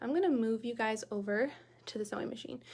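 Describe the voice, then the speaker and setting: A woman talks at a fairly quick pace with a fairly high pitch and ordinary pitch variation, on a very clean recording with a silent background. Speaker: sewing tutorial host. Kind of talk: live-streamed sewing tutorial. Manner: fast; casual, chatty.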